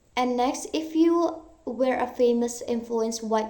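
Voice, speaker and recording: A woman's very slow speech with an Indonesian accent, audible room echo and noticeable background noise. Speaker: university student. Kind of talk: recorded exam answers, self-directed Q&A. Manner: halting, self-correcting.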